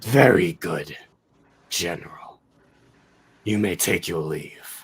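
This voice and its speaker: In a growling put-on character voice, a man speaks at a very slow pace with a fairly low pitch. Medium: actual play. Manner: cold, imperious.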